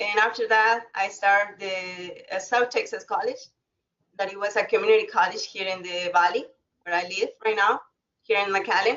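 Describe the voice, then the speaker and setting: Pitched fairly high with ordinary variation, a woman talks at a moderate pace with a slight Spanish accent. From Mexico. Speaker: alumna, former college student. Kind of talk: webinar talk. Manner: halting.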